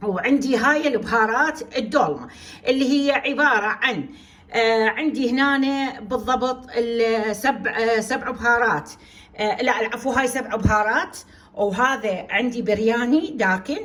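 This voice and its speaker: A woman with a high voice speaks at a very slow pace. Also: ordinary pitch variation. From Iraq, Basra. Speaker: cooking channel host. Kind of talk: cooking tutorial. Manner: speaking louder than usual today; hesitant, many fillers.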